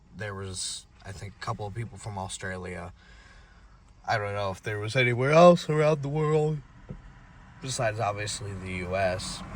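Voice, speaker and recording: At a moderate pace, a man with a fairly low, somewhat breathy voice speaks with lively intonation, big swings in loudness and long, frequent pauses. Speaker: car enthusiast vlogger. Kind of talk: casual vlog narration. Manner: halting, stuttering a little.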